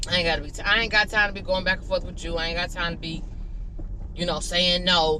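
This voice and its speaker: The delivery is animated, with ordinary pitch variation and audible room echo. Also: woman. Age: 30s. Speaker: vlogger. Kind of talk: casual vlog monologue. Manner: animated, chatty.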